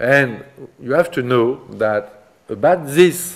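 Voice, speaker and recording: A man talks with a French accent and ordinary pitch variation. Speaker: art history professor; seminar lecturer. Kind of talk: lecture. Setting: seminar room with students. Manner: halting, hesitant with fillers. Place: classroom.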